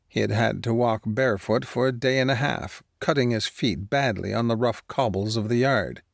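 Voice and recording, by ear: Against a quiet background, the clip is reading aloud in a natural voice with fairly even intonation.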